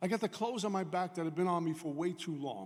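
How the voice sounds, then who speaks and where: A man with a New York accent speaks at a fairly quick pace. His pitch is high, with ordinary pitch variation. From New York, Brooklyn. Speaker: AA speaker. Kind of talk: recovery talk. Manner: fast.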